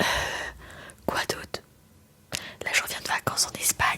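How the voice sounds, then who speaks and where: There is noticeable background noise. A woman whispers at a moderate pace. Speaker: ASMR content creator. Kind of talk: talking ASMR video to camera. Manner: soft, quiet, intimate, whispery.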